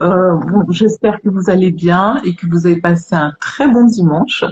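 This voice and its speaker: A woman with a fairly low, somewhat breathy voice speaks at a very slow pace. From Guadeloupe (Pointe-à-Pitre). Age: 50s. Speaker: live stream host. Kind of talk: casual chat.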